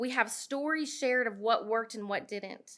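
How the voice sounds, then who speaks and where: Her voice high in pitch and bright, sharp in tone, a woman speaks on a very clean recording with a silent background. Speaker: small cannabis processor business owner. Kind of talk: public comment at town hall, partly read from notes. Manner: fast.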